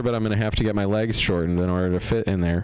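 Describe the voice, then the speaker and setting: Very rapid speech from a man, with clearly audible noise behind him. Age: 40s. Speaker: stand-up comedian. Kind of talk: stand-up.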